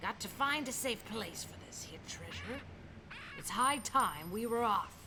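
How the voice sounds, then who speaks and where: A woman puts on a character voice, pitched fairly high. She keeps a moderate pace over clear background noise. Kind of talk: read-aloud picture book. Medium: read story. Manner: loud, bellowing, pirate slang.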